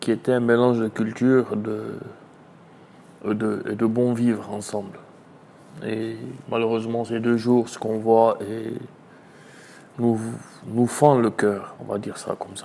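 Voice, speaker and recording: A man speaks fairly slowly at a medium pitch, in a monotone, flat delivery. Long, frequent pauses break up his speech, and his loudness swings widely. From Côte d'Ivoire (Abidjan, Adjamé). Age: 30s. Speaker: charity volunteer leader. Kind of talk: interview testimony.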